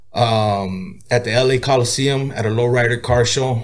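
This man's voice sits at medium pitch, somewhat breathy, with ordinary pitch variation. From Oxnard, California. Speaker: rapper. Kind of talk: casual interview.

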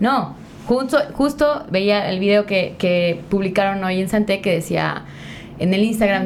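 A woman of medium pitch at a fairly slow pace, with ordinary pitch variation. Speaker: podcast host. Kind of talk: casual chat. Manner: animated.

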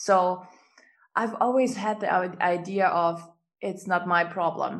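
Speaking at a very slow pace, a woman with a German accent keeps a medium pitch and fairly even intonation. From Germany. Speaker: business coach and healer. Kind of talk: casual interview chat.

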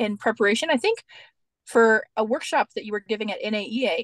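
In a dry, close recording with no echo, a woman has an ordinary speaking voice, fairly high in pitch and with ordinary pitch variation. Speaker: podcast co-host, art educator. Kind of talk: casual interview chat.

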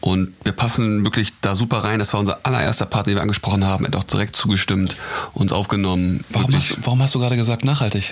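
Talking at a very fast pace, a man has a fairly low pitch and ordinary pitch variation. Noticeable background noise runs underneath. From Hamburg, northern Germany. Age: 20s. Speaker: fashion model and wine entrepreneur. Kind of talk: casual chat. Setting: outdoors at a vineyard.

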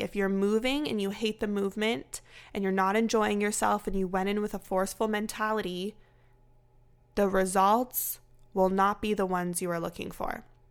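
Speaking at a fairly quick pace, a woman uses an ordinary speaking voice at medium pitch. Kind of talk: guided movement meditation, warm wellness-coach pep talk. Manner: soothing, encouraging, gently paced with an upbeat, empowering tone.

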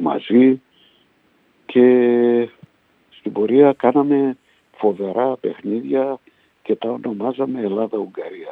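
Pausing often and at length, a man with a medium pitch speaks at a very slow pace with fairly even intonation. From Hungary (Budapest), Greek refugee family. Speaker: retired footballer and coach. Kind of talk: interview testimony. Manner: halting.

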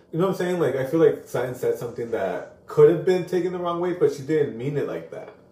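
Hardly pausing, a man rattles off his words very fast. Background noise is noticeable throughout. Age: 30s. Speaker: podcast co-host, vet tech. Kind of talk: casual chat.

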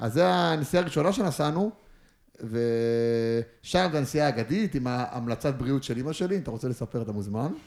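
In a plain, everyday voice, a man speaks at a moderate pace and medium pitch with lively intonation, in a very clean recording with a silent background. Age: 20s. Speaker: footballer. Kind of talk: casual chat. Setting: studio.

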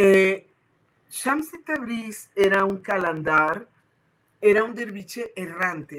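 Very slow speech from a woman at a medium pitch. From Puerto Rico. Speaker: Sufi spiritual leader. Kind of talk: interview.

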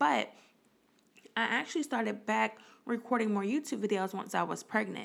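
Animated and fairly quick, a woman talks in a fairly high voice with vocal fry. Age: 20s. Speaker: podcast host and entrepreneur. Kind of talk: casual solo podcast monologue.

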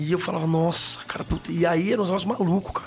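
A high-pitched man at a very fast pace, with fairly even intonation and noticeable background noise. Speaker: comedian. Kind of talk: casual chat.

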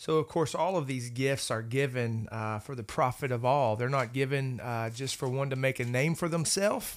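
In a normal speaking voice, a man talks at a moderate pace and medium pitch with ordinary pitch variation and hardly any pauses, on a very clean recording with a silent background. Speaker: pastor. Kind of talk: Bible study discussion.

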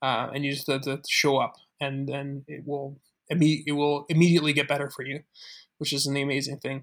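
With a Canadian accent, a man with a fairly high pitch is heard in a very clean recording against a silent background. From Calgary, Alberta, Canada. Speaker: social entrepreneur. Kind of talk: interview.

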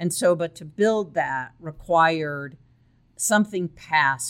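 The recording is very clean, with a silent background. A woman speaks at a fairly slow pace. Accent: American. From Chicago suburbs, US Midwest. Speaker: real estate training company president. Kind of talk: podcast interview.

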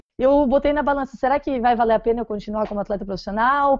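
Her voice sits high. The rise and fall of her pitch is ordinary for a woman speaking. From Florianópolis, southern Brazil. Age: 20s. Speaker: professional triathlete and running coach. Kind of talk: podcast interview.

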